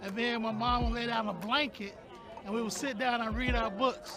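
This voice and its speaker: A man with an American accent speaks in a raised, projected voice at an extremely high pitch and a very fast pace, with fairly even intonation, audible room echo, and crowd noise in the background. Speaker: community resident. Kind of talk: interview testimony.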